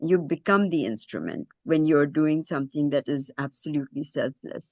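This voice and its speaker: A woman's very deep, low voice, dark and mellow, at a fairly slow pace with ordinary pitch variation, in a dry, close sound with no echo and a quiet background. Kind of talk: presentation. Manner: hesitant, many fillers.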